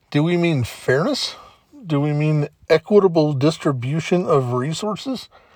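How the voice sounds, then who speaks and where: A man's ordinary speaking voice, fairly high in pitch, at a fairly slow pace. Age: 50s. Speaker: podcast host. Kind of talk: solo monologue podcast.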